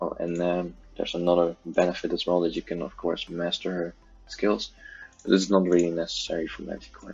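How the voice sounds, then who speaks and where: A man's very deep, low voice at a fairly quick pace with fairly even intonation, music in the background. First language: not English. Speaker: gaming youtuber. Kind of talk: game tutorial. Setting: at home. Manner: halting, many fillers. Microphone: poor audio quality.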